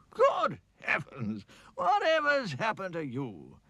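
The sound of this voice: A man's cartoonish character voice, high-pitched, at a fairly slow pace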